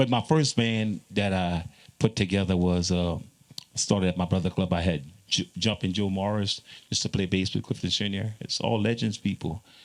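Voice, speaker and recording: This man talks in a Louisiana accent at a moderate pace. His pitch is very deep and low, with ordinary pitch variation. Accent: Louisiana Creole English. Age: 60s. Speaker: zydeco musician. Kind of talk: panel conversation.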